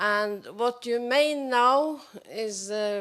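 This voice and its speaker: Her intonation lively, a woman speaks with a Norwegian accent. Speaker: audience member. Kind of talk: audience question. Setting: public event with audience. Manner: halting.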